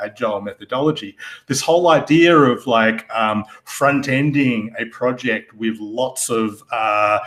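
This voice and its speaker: A man with an Australian accent, ordinary pitch variation and a moderate pace, on a very clean recording with a silent background. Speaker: security architect. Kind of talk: podcast interview. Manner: hesitant, many fillers.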